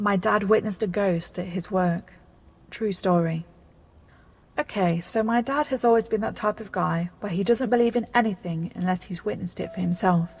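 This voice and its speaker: A woman's somewhat breathy voice sits at a medium pitch. She speaks at a moderate pace. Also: ordinary pitch variation. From British. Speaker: narrator. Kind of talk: scary story narration.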